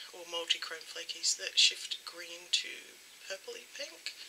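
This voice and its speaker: A female voice comes through with a little noise in the background. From Australia. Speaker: beauty YouTuber. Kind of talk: unboxing haul video. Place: home room. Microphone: webcam.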